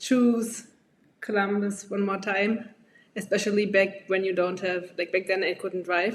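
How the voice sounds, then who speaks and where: A woman speaks at a moderate pace with a German accent. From Germany. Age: 20s. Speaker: medical graduate. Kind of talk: podcast interview.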